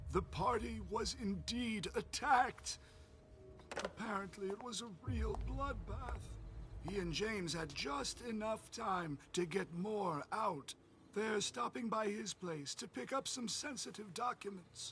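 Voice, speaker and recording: A put-on character voice at middle pitch moves at a fairly slow pace over clear background noise. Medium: video game.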